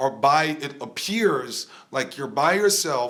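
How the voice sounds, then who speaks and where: Over noticeable background noise, a man with a fairly high pitch speaks in an animated tone with ordinary pitch variation. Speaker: rap coach. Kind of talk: live stream talk.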